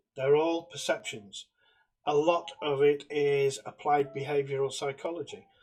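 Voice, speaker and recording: Somewhat breathy, a man with a British accent speaks at a fairly high pitch and a moderate pace. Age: 60s. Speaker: political commentator. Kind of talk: monologue.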